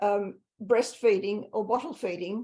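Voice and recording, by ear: A woman speaks at a fairly slow pace. Her tone is slightly mellow.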